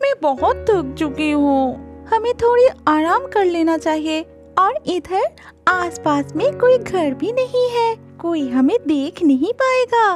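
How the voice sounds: Over faint music in the background, a female-sounding voice in a cartoonish character voice speaks at a fairly slow pace and an extremely high pitch.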